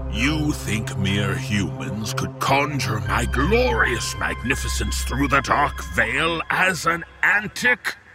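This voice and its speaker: With clear music in the background, a man in a put-on character voice speaks at a medium pitch and a very slow pace. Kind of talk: horror audio drama. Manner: menacing, contemptuous, grandiose.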